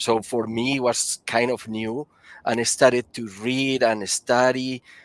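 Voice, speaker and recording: A man talks at a fairly slow pace with a Spanish accent. His intonation is monotone and flat, and the sound is dry and close with no echo. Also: medium pitch for a man. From Colombia. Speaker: powder coating applicator and engineer. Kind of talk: interview. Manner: halting.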